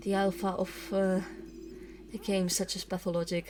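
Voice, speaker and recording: This woman speaks fairly slowly at a medium pitch, in a monotone with flat intonation. There is noticeable background noise. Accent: non-native. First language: not English. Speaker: let's play gamer. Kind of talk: gameplay commentary with reading dialogue aloud. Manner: hesitant, many fillers.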